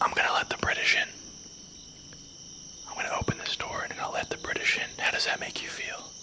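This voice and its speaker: Whispering at a very fast pace, the speaker breaks off with long, frequent pauses over noticeable background noise. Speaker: paranormal investigator. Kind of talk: whispered paranormal investigation ASMR. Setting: outdoors. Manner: whispered.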